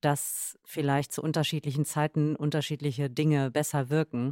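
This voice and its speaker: With a very deep, low pitch and a dark, mellow tone, a woman talks at a fairly quick pace in a dry, close recording with no echo, very clean and with a silent background. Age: 30s. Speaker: yoga and meditation practitioner. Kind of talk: casual chat.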